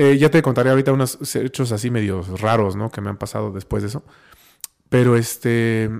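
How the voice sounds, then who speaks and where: A man at a medium pitch, talking at a fairly quick pace with ordinary pitch variation. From Mexico, Oaxaca. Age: 30s. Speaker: musician, pianist. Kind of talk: casual chat.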